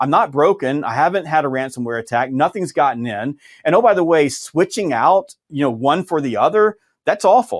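A man with a Southern US accent and fairly high pitch talks at a moderate pace with very wide pitch swings, in a dry, close sound with no echo. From US South, Georgia. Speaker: sales author and trainer. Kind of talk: interview.

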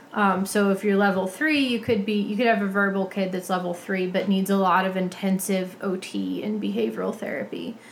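At a moderate pace, a woman uses a normal speaking voice with a medium pitch and fairly even intonation. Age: 30s. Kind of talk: casual chat.

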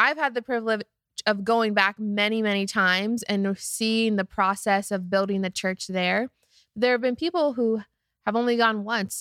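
An ordinary speaking voice from a woman, fairly high in pitch, with ordinary pitch variation and a moderate pace, in a dry, close sound with no echo on a very clean recording with a silent background. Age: 20s. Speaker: high school youth pastor. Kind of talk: casual Bible discussion.

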